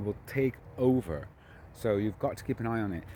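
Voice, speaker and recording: With normal pitch movement, a man talks in a dark, mellow tone. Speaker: gardening vlogger. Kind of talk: casual video walkthrough. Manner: hesitant fillers.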